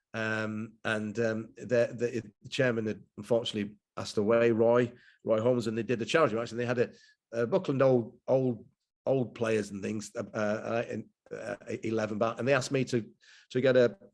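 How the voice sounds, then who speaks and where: Fairly even intonation from a man with a medium-pitched voice, at a moderate pace. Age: 60s. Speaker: former footballer and coach. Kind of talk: casual chat. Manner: halting, many repetitions.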